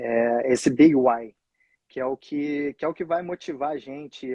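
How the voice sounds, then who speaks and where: At a fairly slow pace, the voice has a dark, mellow tone, recorded with a dry, close sound with no echo and a quiet background. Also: man. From Rio de Janeiro, Brazil. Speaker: real estate agent, former soccer coach. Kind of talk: interview answer.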